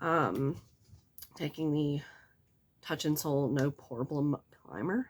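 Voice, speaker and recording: A woman speaks with a very deep, low pitch. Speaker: beauty vlogger. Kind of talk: get ready with me vlog. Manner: casual.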